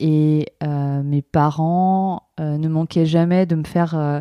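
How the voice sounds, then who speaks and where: In a dry, close recording with no echo and a quiet background, a woman speaks in a monotone, flat way, her fairly low voice dark and mellow in tone. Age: 30s. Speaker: speech therapy trainee. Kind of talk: testimony.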